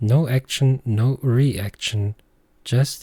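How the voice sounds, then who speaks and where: A man with a German accent speaks at a very slow pace. His tone is dark and mellow, somewhat breathy. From Germany. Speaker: podcast host. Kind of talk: reflective monologue.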